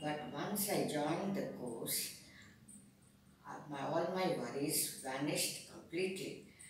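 A woman with a very deep, low pitch, strong room echo and light background noise. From India. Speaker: senior music student. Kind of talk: interview answer. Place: office. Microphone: camera far.

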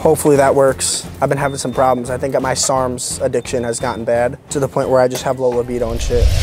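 A man at a very fast pace with hardly any pauses, fairly even intonation and a dry sound with no echo, over noticeable background noise. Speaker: vlogger. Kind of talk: casual vlog chat. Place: shop. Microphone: lapel.

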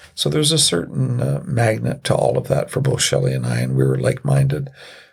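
Noticeable background noise surrounds this man. He talks at a fairly quick pace with a Canadian accent. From military bases in Europe, then Canada. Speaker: retired police officer and city councillor. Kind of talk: podcast interview.

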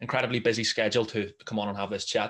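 Man with a Belfast accent, fairly low pitch, very fast pace, over a quiet background. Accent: Northern Irish, Belfast. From Northern Ireland. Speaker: podcast host. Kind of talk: interview.

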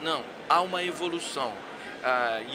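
A man's fairly high voice with ordinary pitch variation, set against noticeable background noise. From interior of Rio de Janeiro, Brazil. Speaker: insurance executive. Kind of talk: casual interview. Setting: live at a conference. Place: hall. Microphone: studio mic.

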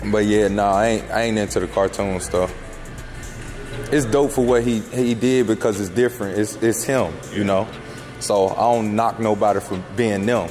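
Over clear music in the background, a man with a fairly low pitch speaks at a moderate pace with fairly even intonation. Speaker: car vlogger. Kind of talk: casual vlog chat. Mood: relaxed, laughing. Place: shop.

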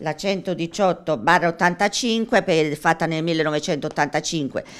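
A woman at a moderate pace, fairly low in pitch, with ordinary pitch variation. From Italy. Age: 60s. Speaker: interviewee. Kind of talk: news interview. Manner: halting. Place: home room. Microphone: handheld.

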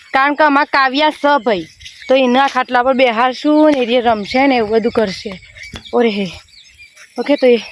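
A high-pitched woman's voice against noticeable background noise. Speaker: vlogger. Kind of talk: casual vlog narration. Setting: outdoors on a farm field.

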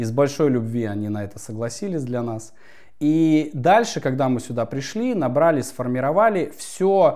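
With lively intonation and a dark, mellow tone, a man talks at a fairly slow pace against a quiet background. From Yakutia, Russian Far East. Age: 30s. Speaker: spiritual coach. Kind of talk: interview. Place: home room.

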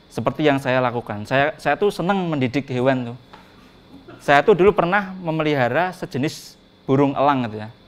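Here a man speaks with a fairly high pitch and lively intonation. He moves at a fairly quick pace, with big swings in loudness. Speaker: stand-up comedian. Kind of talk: stand-up comedy. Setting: stage with audience. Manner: animated; playful, mimicking sounds and animals. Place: stage. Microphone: handheld.

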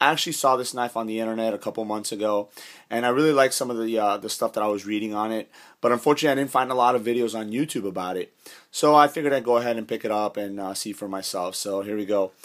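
Against a quiet background, a man talks at a very fast pace with ordinary pitch variation. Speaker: knife reviewer. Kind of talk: product review. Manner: casual with frequent fillers. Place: home room. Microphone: phone near.

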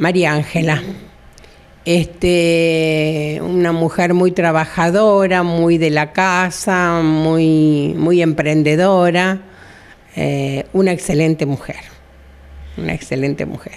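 Speaking at a very slow pace, a woman uses monotone, flat intonation at a fairly low pitch. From Argentina, southern Santa Fe province. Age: 70s. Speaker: retired hairdresser. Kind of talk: interview, personal life story. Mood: warm, nostalgic, smiling. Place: shop. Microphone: handheld.

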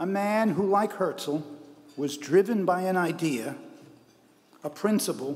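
A man speaks at a fairly slow pace. His pitch is high. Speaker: award presenter. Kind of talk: ceremonial speech. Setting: stage with audience. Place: hall. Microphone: podium.

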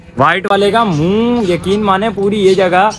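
This man's voice sits high in pitch, with ordinary pitch variation. Light background noise is audible. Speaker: pet vlogger. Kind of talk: casual vlog chat. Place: open country. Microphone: phone near.

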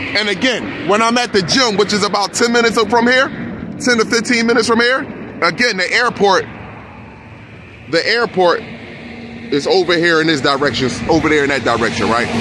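A man speaks in a raised, projected voice at a moderate pace. The sound is dry with no echo, and noticeable background noise is present. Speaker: sky-watching vlogger. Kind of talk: casual vlog commentary. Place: car. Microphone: phone near.

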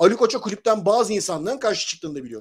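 This man's voice sits high in pitch. His intonation is lively. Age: 40s. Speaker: football commentator; football commentator panelist. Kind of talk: casual chat. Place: home room. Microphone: video call.

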